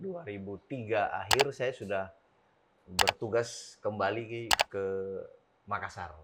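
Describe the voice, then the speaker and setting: This man has a fairly low pitch and ordinary pitch variation. He speaks at a fairly slow pace with a Sulawesi accent. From South Sulawesi, Bugis. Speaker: police chief. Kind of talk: podcast interview.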